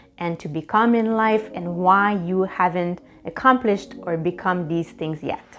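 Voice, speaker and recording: The speaker is a woman with ordinary pitch variation. She keeps a moderate pace. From Quebec, Canada. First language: French. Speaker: life coach and YouTuber. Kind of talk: self-help tutorial.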